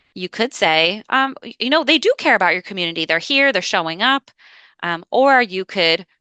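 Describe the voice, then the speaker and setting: A woman talks at a fairly quick pace with lively intonation and a bright, sharp tone. The sound is dry and close with no echo, against a quiet background. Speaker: dispute resolution trainer. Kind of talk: training presentation. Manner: fast.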